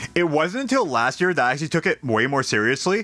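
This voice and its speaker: A man speaks in a bright, sharp tone. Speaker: gaming streamer. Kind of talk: casual chat. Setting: live stream. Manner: halting.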